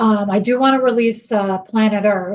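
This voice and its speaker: A woman with a New York accent speaks in a somewhat breathy voice. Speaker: singer. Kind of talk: interview.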